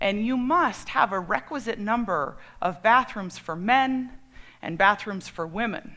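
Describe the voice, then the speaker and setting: Her fairly high, bright, sharp voice moves at a fairly slow pace with lively intonation. The woman is recorded very cleanly against a silent background. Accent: American. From Colorado, US. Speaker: storyteller. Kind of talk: personal storytelling talk.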